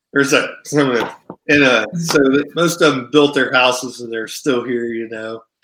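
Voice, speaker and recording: A man with a Midwestern US accent talks very slowly, barely pausing, at a medium pitch with fairly even intonation and big swings in loudness. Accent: US Midwest. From Ohio. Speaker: country singer. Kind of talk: interview.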